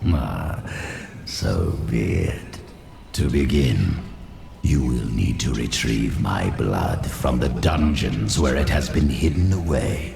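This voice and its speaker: Using a put-on character voice, a man speaks at a fairly slow pace with clear echo and clear background noise. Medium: machinima. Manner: sly, mocking.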